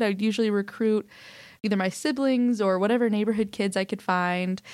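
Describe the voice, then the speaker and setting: In an ordinary speaking voice with an American accent, a woman talks at a fairly quick pace with fairly high pitch and ordinary pitch variation, on a very clean recording with a silent background. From Oklahoma City, US. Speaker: social entrepreneur. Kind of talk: interview conversation.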